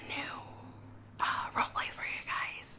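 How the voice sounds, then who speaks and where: The pace is moderate. A woman whispers throughout. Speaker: ASMR creator. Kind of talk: casual talk to camera. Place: home room.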